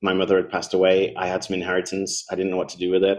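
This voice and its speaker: Over a quiet background, a man with a British accent speaks very fast in a very deep, low pitch. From UK. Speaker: Bitcoin advocate, former finance professional and teacher. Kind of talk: interview.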